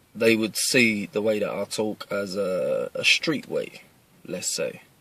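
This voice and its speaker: Noticeable noise sits in the background. A man talks very slowly over it. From East London, England. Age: 30s. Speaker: martial arts instructor. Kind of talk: casual address to camera. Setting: in a car.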